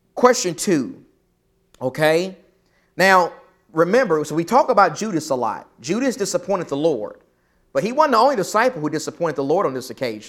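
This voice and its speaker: A voice with very wide pitch swings moves at a fairly quick pace, broken by long, frequent pauses, on a very clean recording with a silent background. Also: man, high pitch for a man. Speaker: preacher teaching a Bible class. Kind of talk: Bible class lesson. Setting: church classroom. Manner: conversational, many fillers and restarts.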